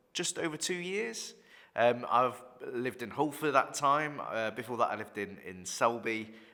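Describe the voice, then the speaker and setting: With a Yorkshire accent, a man speaks at a moderate pace in a bright, sharp tone on a very clean recording with a silent background. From northern England, York. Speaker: vicar. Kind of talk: casual chat. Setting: office recording. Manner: halting, many repetitions.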